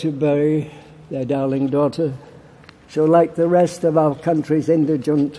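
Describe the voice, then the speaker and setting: Someone with a Yorkshire accent talks at a fairly slow pace in a monotone, flat intonation over noticeable background noise. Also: man. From Barnsley, Yorkshire, England. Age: 80s+. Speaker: war veteran. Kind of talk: political conference speech.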